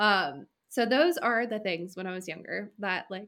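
Using vocal fry, a woman with an American accent speaks at a moderate pace with ordinary pitch variation. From California. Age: young. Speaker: podcast co-host. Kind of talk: casual chat.

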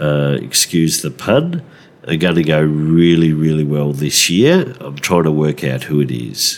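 A man with an Australian accent, a very deep, low pitch, ordinary pitch variation and a fairly slow pace over noticeable background noise. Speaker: fantasy football podcast host. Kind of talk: casual chat. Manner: hesitant with many fillers.

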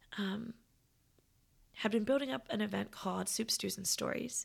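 Vocal fry from a woman at medium pitch, in a very clean recording with a silent background. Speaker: podcast host. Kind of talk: reflective solo podcast talk.

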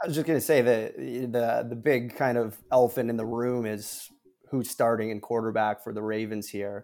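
A man with a plain, everyday voice at medium pitch, fairly quick and fairly even in intonation, on a very clean recording with a silent background. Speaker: guest, football fan and fantasy player. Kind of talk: casual banter about football and betting. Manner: confident, chatty with fillers.

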